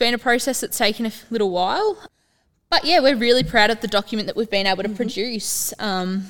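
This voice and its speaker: Speaking with an Australian accent, a woman with a fairly high pitch moves at a fairly quick pace with ordinary pitch variation. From Terang, Victoria, Australia. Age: young. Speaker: youth council mayor. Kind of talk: interview.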